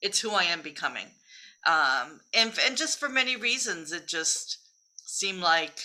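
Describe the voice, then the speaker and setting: With a bright, sharp tone, a woman speaks at a moderate pace and swings her pitch very widely. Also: fairly high pitch for a woman. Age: 60s. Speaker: spiritual coach. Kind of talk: interview.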